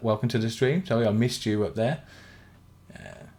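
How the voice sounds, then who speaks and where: A man's medium-pitched, somewhat breathy voice with a dark, mellow tone at a fairly quick pace. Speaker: gaming streamer. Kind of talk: live stream chat while playing. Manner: flat, not very enthusiastic sounding; monotone.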